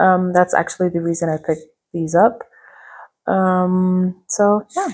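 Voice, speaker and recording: In a dark, mellow tone with a non-native accent, a woman speaks at medium pitch and a fairly slow pace on a very clean recording with a silent background. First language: not English. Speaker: booktuber. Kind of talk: casual vlog book review. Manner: casual, filler-heavy with frequent ums.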